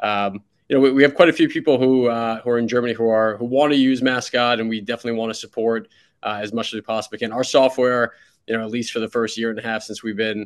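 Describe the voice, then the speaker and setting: A man with a New York accent and a medium pitch talks very fast in a fairly even intonation against a quiet background. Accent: New York American. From US, New York City. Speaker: startup CEO. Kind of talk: podcast interview.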